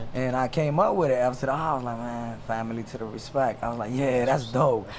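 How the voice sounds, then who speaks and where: A man speaks very fast with an American accent, his pitch in the middle range. Noticeable background noise runs behind him. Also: ordinary pitch variation. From Washington DC area (raised from El Salvador, age 7-8). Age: 30s. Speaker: rapper. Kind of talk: casual interview.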